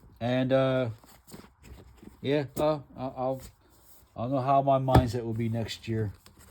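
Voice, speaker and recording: The speech moves at a fairly slow pace with long, frequent pauses. Intonation stays monotone and flat, and there is noticeable background noise. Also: man, medium pitch for a man. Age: 60s. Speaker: comic book collector vlogger. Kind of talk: casual monologue showing collection. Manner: halting, many fillers.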